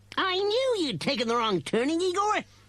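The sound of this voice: A man's put-on character voice, extremely high-pitched and fairly bright, with big pitch swings at a moderate pace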